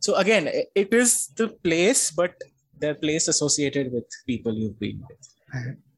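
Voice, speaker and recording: Somewhat breathy, a man with a fairly high pitch talks at a moderate pace, his voice making very wide pitch swings and big swings in loudness. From India, Calcutta. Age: 30s. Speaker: podcast guest. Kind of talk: casual chat.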